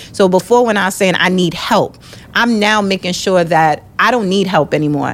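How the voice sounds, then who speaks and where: Noticeable background noise sits under a woman speaking at a moderate pace. Her loudness stays very even. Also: medium pitch for a woman, ordinary pitch variation. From New York (Brooklyn), born in Jamaica. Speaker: entrepreneur, architect. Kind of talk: casual chat.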